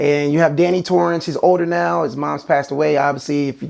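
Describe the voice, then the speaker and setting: A man speaks at a fairly quick pace. The recording is very clean, with a silent background. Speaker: movie reviewer. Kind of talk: video review. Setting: at home, near a sleeping child's room. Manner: fast.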